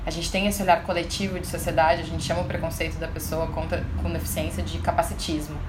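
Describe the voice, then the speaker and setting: Against noticeable background noise, a woman rushes along at a very fast pace with hardly any pauses. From Brazil, Porto Alegre (Rio Grande do Sul). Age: 30s. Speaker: author and inclusion speaker. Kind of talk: interview.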